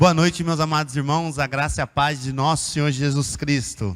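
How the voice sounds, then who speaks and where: A man talks at a medium speed, his intonation fairly even. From interior of São Paulo state, Brazil (Araraquara). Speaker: missionary pastor. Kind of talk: sermon. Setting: church.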